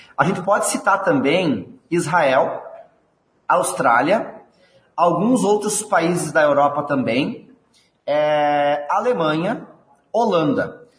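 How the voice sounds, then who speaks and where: A high-pitched man at a very slow pace, lively intonation and very even loudness, long frequent pauses, audible room echo. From southern Brazil, Rio Grande do Sul. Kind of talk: interview.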